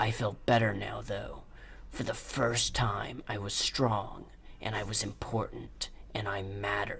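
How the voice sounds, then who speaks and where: Against clear background noise, a man talks at a fairly slow pace. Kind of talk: hard-boiled voice-over. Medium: solo performance. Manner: gruff, solemn.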